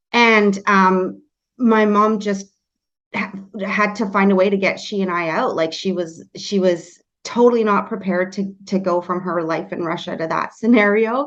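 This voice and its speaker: With a Canadian accent, an unremarkable speaking voice moves at a moderate pace with fairly even intonation. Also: woman, medium pitch for a woman. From Canada. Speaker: real estate agent and team leader. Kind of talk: podcast interview.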